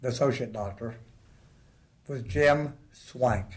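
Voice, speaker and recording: A man with an American accent talks at a fairly slow pace in a somewhat breathy, medium-pitched voice with ordinary pitch variation. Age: 70s. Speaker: interview guest. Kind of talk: casual chat.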